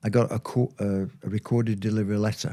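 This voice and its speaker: At a moderate pace, a man speaks with a medium pitch and a dark, mellow tone, recorded very cleanly against a silent background. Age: 70s. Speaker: former footballer. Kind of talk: interview. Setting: studio. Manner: hesitant, with many fillers.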